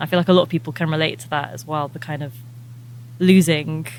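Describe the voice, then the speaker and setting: A woman's very deep, low voice with an English accent and fairly even intonation, with noticeable background noise. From England. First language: Albanian. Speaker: musician. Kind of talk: interview.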